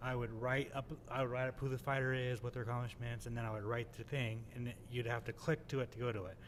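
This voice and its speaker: Speaking at a very fast pace, a man with an American accent holds a medium pitch in monotone, flat intonation. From California. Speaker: MMA journalist. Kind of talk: casual chat. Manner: fast, filler-heavy.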